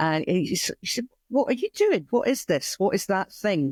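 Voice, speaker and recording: A woman speaks with a Scottish accent in a dry, close sound with no echo, on a very clean recording with a silent background. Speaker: community weaving studio founder. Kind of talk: interview conversation. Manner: hesitant with fillers.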